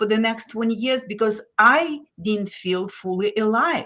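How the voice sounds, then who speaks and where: Speaking with a Lithuanian accent, a woman uses medium pitch, a moderate pace and ordinary pitch variation. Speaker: business guest, former finance executive. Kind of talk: casual chat.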